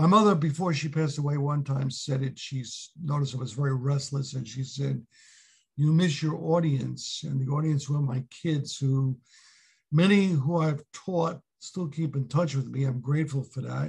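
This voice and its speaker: A man with a New York accent speaks in a somewhat breathy voice at a fairly high pitch. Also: ordinary pitch variation, moderate pace. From New York City (Brooklyn). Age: 70s. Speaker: retired history teacher. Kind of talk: interview.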